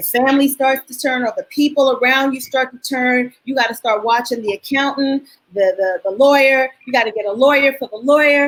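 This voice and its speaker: A woman with a New York accent talks at a fairly quick pace and a high pitch. Her intonation is fairly even, but her loudness swings a lot. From New York (Queens). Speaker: dance choreographer. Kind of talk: interview. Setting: video call.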